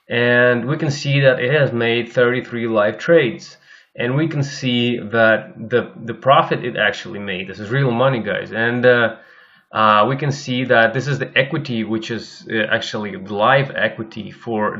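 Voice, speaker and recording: A man with a Russian accent speaks at a moderate pace. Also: medium pitch for a man, ordinary pitch variation. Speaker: algorithmic trader and course instructor. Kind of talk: screen-share tutorial. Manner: halting, many fillers and repetitions.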